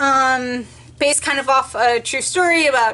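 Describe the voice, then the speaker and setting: The voice is raised and projected, with a bright, sharp tone. It moves at a very slow pace. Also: woman. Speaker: book vlogger. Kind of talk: casual vlog monologue. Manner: hesitant with many ums.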